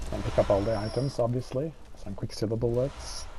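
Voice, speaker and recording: Dark, mellow tone with vocal fry, ordinary pitch variation and a fairly quick pace. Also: man. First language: not English. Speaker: gaming YouTuber. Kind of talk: let's play gameplay commentary. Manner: hesitant, many filler uhs.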